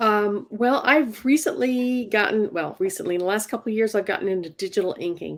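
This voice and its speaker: Speaking in a normal speaking voice, a woman talks at a fairly quick pace with hardly any pauses, her fairly high pitch carrying lively intonation on a very clean recording with a silent background. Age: 60s. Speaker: comic book inker. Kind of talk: tutorial.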